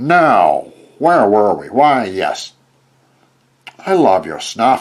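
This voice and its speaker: A man puts on a gruff character voice at a medium pitch, swinging his pitch very widely. He speaks at a very slow pace. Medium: read story. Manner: gruff, snappish.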